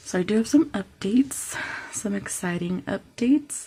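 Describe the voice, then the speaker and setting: A somewhat breathy woman at a fairly slow pace, her medium pitch carried by lively intonation. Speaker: personal finance vlogger. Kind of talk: casual vlog talk. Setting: at home, parents asleep.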